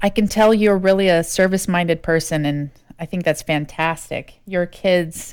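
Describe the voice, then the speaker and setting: With a plain, everyday voice, a woman talks at a moderate pace in a fairly low pitch, with fairly even intonation and hardly any pauses. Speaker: podcast host. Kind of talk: podcast interview questions.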